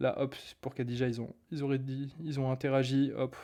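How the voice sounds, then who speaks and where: The recording is very clean, with a silent background. A man speaks at a medium pitch. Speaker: online marketing coach. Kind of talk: live stream talk. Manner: fast; animated.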